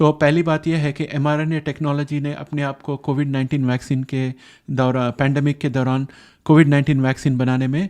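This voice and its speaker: In a quiet background, a man speaks in a monotone, flat voice. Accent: non-native. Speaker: science explainer youtuber. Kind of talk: explainer monologue. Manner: halting, many fillers.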